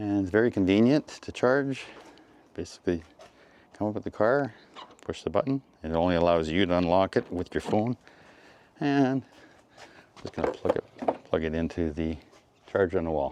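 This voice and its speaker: A man with a Western Canadian accent speaks in a fairly low voice at a moderate pace, with lively intonation. He leaves long, frequent pauses. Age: 60s. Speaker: retired mechanic and EV vlogger. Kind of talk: casual video blog.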